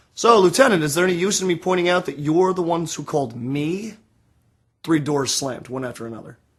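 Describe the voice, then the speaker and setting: A man at high pitch, with lively intonation and a moderate pace. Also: long, frequent pauses, big swings in loudness. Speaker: author reading own novel. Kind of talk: audiobook reading.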